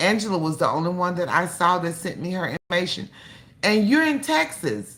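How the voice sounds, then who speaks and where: A woman speaks with a bright, sharp tone at a fairly low pitch. Her pace is moderate. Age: 60s. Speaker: cooking channel host. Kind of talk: casual livestream chat. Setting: livestream.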